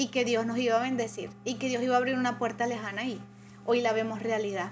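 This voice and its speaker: Over noticeable background noise and audible room echo, a woman talks at a very fast pace with fairly high pitch and fairly even intonation. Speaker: churchgoer sharing testimony. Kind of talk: testimony.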